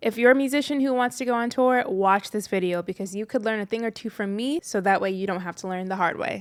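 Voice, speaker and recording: Over music in the background, a woman with an American accent talks at a very fast pace with hardly any pauses, in an animated tone at a fairly high pitch with ordinary pitch variation. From US Northeast, Massachusetts. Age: 20s. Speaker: professional musician. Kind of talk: advice vlog. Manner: casual, animated.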